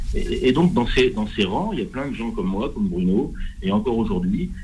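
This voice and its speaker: Audible room echo and noticeable background noise surround a man who speaks at a moderate speed. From northern France. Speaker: retired police commander. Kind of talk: testimony.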